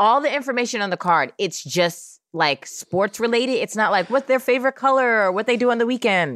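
Recorded with a dry, close sound and no echo, a woman in an ordinary speaking voice with an American accent and fairly high pitch talks with hardly any pauses. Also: lively intonation. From Oakland, California. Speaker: podcast host. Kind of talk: casual chat.

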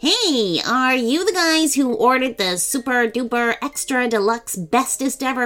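Using a put-on character voice, a woman speaks at a high pitch. She keeps a moderate pace with hardly any pauses.

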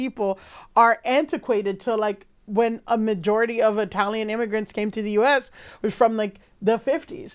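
An unremarkable speaking voice from a woman, fairly high in pitch with ordinary pitch variation, at a fairly quick pace on a very clean recording with a silent background. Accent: American. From New York, Dominican heritage. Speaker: comedian and podcast host. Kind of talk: casual comedic chat.

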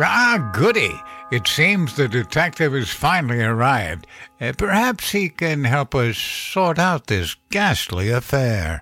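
A man's put-on character voice, medium in pitch and slow, with big pitch swings, a bright, sharp tone and faint music in the background.

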